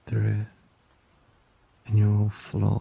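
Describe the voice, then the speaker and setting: A soft-spoken man talks with a gentle, soothing tone at a fairly low pitch. The sound is dry and close with no echo, though background noise is noticeable. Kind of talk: ASMR boyfriend roleplay. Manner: gentle, soft-spoken, soothing.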